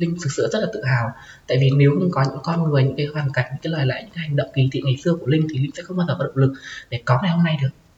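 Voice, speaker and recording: Noticeable background noise runs under a woman speaking at a very fast pace. Her pitch is very deep and low, with ordinary variation. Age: 20s. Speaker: transgender student sharing coming-out story. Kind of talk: interview. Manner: halting.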